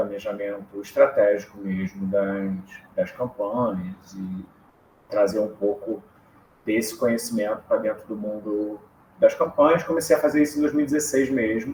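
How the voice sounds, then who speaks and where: Moderate pace and ordinary pitch variation from a man with a fairly low voice and a Rio de Janeiro accent. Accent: Carioca Brazilian Portuguese. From Rio de Janeiro, Brazil. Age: 30s. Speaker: political strategist. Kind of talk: podcast interview.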